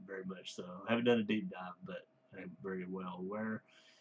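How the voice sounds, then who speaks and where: In a Southern US accent, a man speaks at a moderate pace with a fairly low pitch. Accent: Southern US (Georgia). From US South, Georgia. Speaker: music reviewer, works with kids. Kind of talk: casual review monologue. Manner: halting, many fillers.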